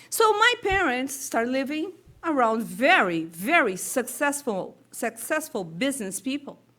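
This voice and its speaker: A woman talks in a raised, projected voice at a high pitch and a fairly slow pace, with very wide pitch swings. Noticeable background noise is present. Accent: Brazilian Portuguese. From Brazil. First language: Portuguese. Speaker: spiritist speaker. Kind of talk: talk at a public meeting. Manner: halting.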